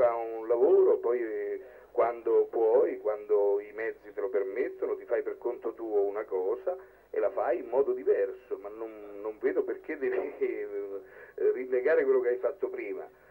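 The speech moves at a moderate pace. Long pauses break it up often. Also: man, big swings in loudness. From southern Italy. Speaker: film director. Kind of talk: public Q&A debate. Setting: cinema screening with audience and microphone. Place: street. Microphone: handheld.

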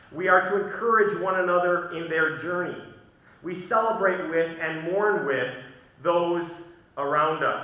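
A high-pitched man speaks at a fairly slow pace with fairly even intonation. Room echo is audible. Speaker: pastor. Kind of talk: sermon. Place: church. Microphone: podium.

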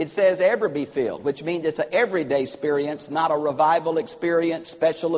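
A man speaks at a moderate pace in a high voice against a quiet background. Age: old. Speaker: preacher. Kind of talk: sermon. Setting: church. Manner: animated. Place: church. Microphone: lapel.

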